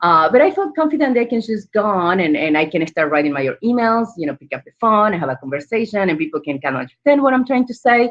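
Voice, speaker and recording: With an Argentine accent, a woman speaks at a very fast pace with hardly any pauses. Her medium pitch makes very wide swings. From Argentina. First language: Spanish. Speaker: entrepreneur. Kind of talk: panel interview.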